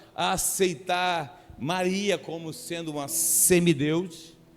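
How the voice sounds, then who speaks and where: Audible room echo surrounds a man speaking with a high pitch. His pitch varies in an ordinary way. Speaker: pastor. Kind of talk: sermon. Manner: halting, repeats words.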